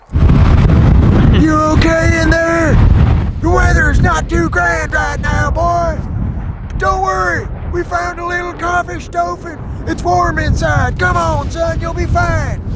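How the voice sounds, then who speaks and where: Someone does a put-on character voice at a fairly slow pace over loud background noise. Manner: gruff, commanding, bellowing.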